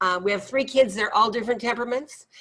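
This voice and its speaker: A woman's voice with ordinary pitch variation. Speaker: children's theater teacher and temperament mentor. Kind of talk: podcast interview. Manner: loud.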